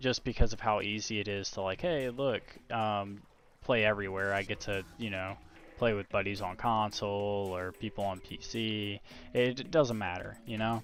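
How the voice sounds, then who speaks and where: Soft-spoken and fairly even in intonation, a man talks at a moderate pace with a fairly low pitch. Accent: American. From Virginia. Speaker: gaming streamer. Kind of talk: casual live-stream commentary. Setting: home live stream, quiet so family sleeps. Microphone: noise gate filter cutting out soft speech.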